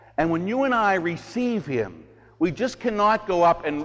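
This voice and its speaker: Here a man speaks. His intonation is lively. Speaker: priest. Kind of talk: homily at Mass. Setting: church. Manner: animated; informal.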